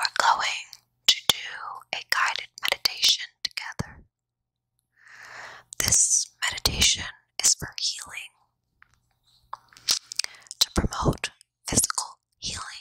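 A woman whispers, soft-spoken, at a very slow pace with long, frequent pauses. The sound is dry, with no echo. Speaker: ASMR creator. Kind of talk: guided meditation. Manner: soft close-mic ASMR whisper. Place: home room. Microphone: handheld.

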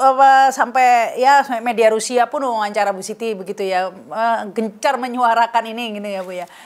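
A woman speaks with a fairly high pitch. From Indonesia. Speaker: news talk show host. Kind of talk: interview. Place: home room.

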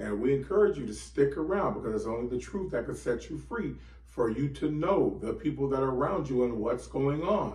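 A man talking at a fairly quick clip with hardly any pauses, against a quiet background with audible room echo. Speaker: bible teacher. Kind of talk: sermon. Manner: animated. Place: home room. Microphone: camera far.

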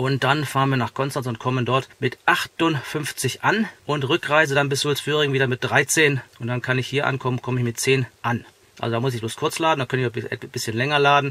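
A man speaks at a fairly quick pace with hardly any pauses and fairly even intonation, the sound dry with no echo. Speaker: car vlogger. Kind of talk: tutorial. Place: car.

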